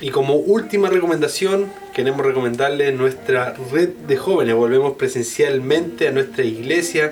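Noticeable background noise surrounds a man speaking in a Chilean accent with ordinary pitch variation. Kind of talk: casual chat. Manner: animated.

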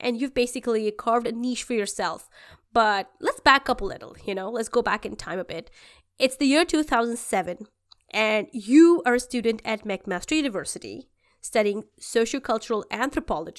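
In a very clean recording with a silent background, a woman speaks at a moderate pace with fairly high pitch and lively intonation. She has an ordinary speaking voice. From immigrant to Canada. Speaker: podcast host. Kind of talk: interview.

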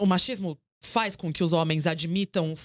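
A woman with an unremarkable speaking voice talks at a moderate pace and fairly low pitch. The recording is very clean, with a silent background. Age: 30s. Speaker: journalist and content creator. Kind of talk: casual chat.

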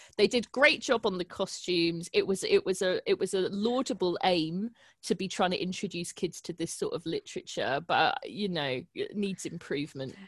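With a British accent, a woman speaks at a moderate pace with hardly any pauses, the sound dry and close with no echo. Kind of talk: casual chat. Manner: casual, swears.

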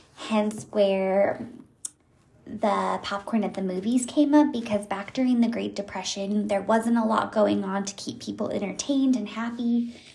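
A woman with a fairly high voice at a moderate pace, amid noticeable background noise. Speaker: solo podcast host. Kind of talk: casual monologue.

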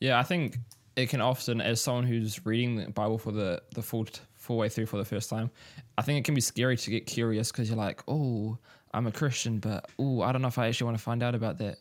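Recorded very cleanly against a silent background, a man talks at a very fast pace in a New Zealand accent. His medium-pitched voice keeps a fairly even intonation. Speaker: podcast host. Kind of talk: interview conversation; casual chat.

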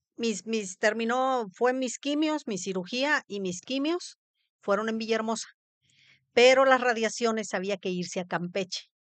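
A woman speaks at a moderate pace with a fairly high pitch and lively intonation. The background is quiet. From Mexico, Veracruz. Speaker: cancer survivor. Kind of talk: testimony.

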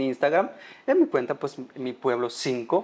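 A man talks at a moderate pace. Behind him, the background stays quiet. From Guatemala, Baja Verapaz. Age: 20s. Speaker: food content creator. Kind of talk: casual interview. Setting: studio. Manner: hesitant, many fillers.

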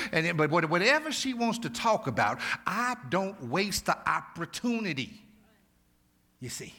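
A man's raised, projected voice, high for a man, with a bright, sharp tone, very wide pitch swings, a fairly slow pace and long, frequent pauses. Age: 50s. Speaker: pastor. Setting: church. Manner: impassioned and emphatic, repeating phrases for rhythm; conversational, colloquial asides to the congregation.

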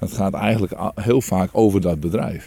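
The tone is dark and mellow, and the intonation stays fairly even. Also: man. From Friesland, Netherlands. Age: 40s. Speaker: business owner. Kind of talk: casual interview. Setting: outdoors on a walk.

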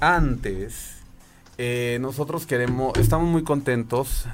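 A man speaks with a Mexican accent. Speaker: tech podcast host. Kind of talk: casual chat.

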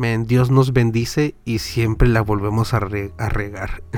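A man with an unremarkable speaking voice talks at a fairly slow pace. His intonation is fairly even. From Southern California. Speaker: podcaster and church minister. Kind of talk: casual chat.

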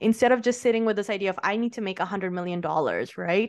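A woman talks in a normal speaking voice against a quiet background. Her pitch is fairly high, with ordinary variation. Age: 20s. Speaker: podcast guest. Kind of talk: casual interview chat.

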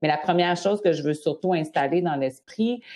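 With a Quebec accent, a woman speaks in a dark, mellow tone with ordinary pitch variation. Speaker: nutrition and eating-behaviour specialist. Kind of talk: interview.

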